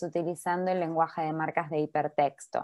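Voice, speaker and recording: A woman's voice with a dark, mellow tone comes through over a quiet background. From Argentina. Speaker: workshop instructor, doctoral student; presenter. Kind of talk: online workshop tutorial. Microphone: video call.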